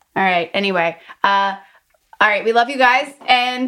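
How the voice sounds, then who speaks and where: With lively intonation and a bright, sharp tone, a woman speaks in a raised, projected voice. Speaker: actress and podcast co-host. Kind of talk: casual chat. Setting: live-stream event.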